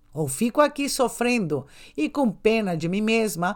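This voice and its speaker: Speaking very slowly, a woman keeps a medium pitch with very wide pitch swings. The recording is very clean, with a silent background. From Brazil, São Paulo, Spanish-speaking family. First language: Spanish (speaking Portuguese). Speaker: podcast host, self-esteem coach and sexologist. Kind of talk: motivational monologue.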